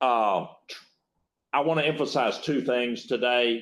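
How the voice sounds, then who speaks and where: A man speaks with a northern Louisiana accent. His pitch is medium, with ordinary variation. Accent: rural northern Louisiana. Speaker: state agency secretary, former judge. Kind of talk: keynote talk. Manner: halting, repeats words.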